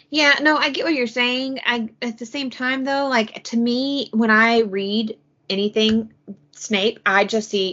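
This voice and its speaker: A woman's fairly high, unremarkable speaking voice at a fairly slow pace. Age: 30s. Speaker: podcast co-host. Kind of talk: casual chat.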